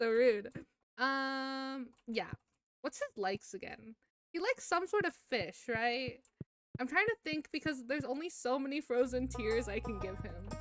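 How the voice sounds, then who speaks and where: A woman with a high voice projects it in a raised manner, speaking at a fairly slow pace with lively intonation, the sound dry and close with no echo. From US Midwest. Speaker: streamer. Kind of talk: casual gaming livestream chat. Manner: rambling, hesitant with fillers.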